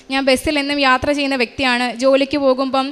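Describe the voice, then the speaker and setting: Over noticeable background noise, a woman speaks at a high pitch. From Kerala, Kollam district. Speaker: radiographer giving a church testimony. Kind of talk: testimony. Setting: church altar.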